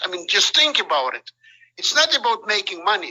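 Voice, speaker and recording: A man is speaking. He has a non-native accent. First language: not English. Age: 60s. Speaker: top sales rep. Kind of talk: speech on a group call. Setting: conference call. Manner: animated.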